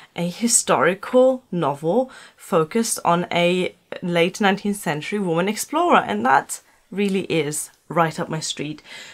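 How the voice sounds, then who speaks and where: A woman speaks with a German accent and lively intonation. Her pace is moderate. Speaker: book vlogger. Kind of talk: casual vlog talk. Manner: halting, many fillers.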